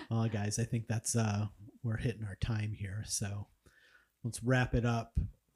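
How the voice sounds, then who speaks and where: A man's somewhat breathy, medium-pitched voice, fairly slow and flat in intonation, with long, frequent pauses. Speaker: podcast host. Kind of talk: casual chat.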